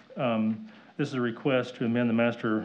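With an American accent, a man speaks at a medium pitch in a monotone, flat delivery. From US South. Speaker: city planning staff. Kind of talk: public meeting report. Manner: halting. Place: meeting room.

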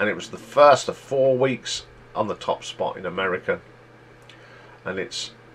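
With an East Midlands accent, a man speaks at a fairly slow pace. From England, East Midlands (near Leicester). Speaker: YouTube music chart host. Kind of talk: solo music countdown commentary. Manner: casual, conversational. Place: home room. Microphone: webcam.

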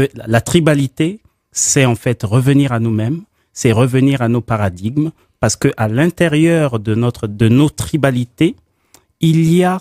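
In a dry sound with no echo and a quiet background, a man speaks in a dark, mellow tone. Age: 40s. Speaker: political activist, concept promoter. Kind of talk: radio debate. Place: studio.

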